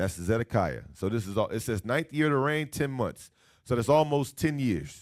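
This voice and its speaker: With lively intonation, a man uses an ordinary speaking voice at a medium pitch and moderate pace. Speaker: Bible teacher. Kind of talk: bible class lecture.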